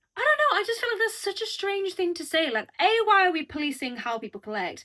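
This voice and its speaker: In a British accent, a woman speaks with an animated, bright, sharp tone. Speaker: youtuber. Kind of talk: casual chat.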